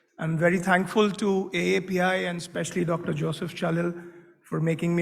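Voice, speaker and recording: A man with a high-pitched voice speaks loudly at a fairly quick pace, with audible room echo. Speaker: medical device executive. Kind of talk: conference talk.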